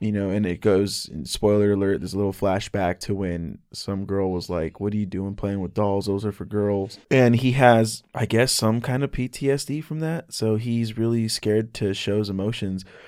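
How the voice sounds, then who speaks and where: On a very clean recording with a silent background, a man with a plain, everyday voice and a fairly low pitch talks at a moderate pace with ordinary pitch variation and hardly any pauses. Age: 20s. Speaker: podcast guest, anime fan. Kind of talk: casual chat.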